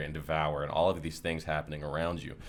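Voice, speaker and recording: A man at a very fast pace. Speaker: gaming content creator. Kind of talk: gameplay build tutorial. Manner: casual, filler-heavy.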